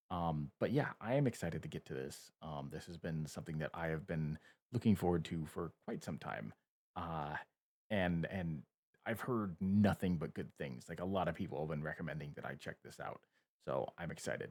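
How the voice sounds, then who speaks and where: Quietly, a man with a very deep, low pitch speaks at a moderate pace with ordinary pitch variation, the sound dry and close with no echo. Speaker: YouTube reactor. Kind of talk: reaction video commentary. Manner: quiet, close to mic. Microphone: close to microphone.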